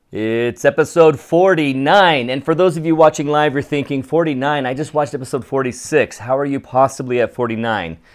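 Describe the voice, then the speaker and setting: On a very clean recording with a silent background, a man speaks at a fairly quick pace with hardly any pauses, his fairly high pitch varying in an ordinary way. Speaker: photography podcast host. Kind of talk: live-streamed casual podcast chat. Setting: home recording at co-host's house, live stream. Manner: loud.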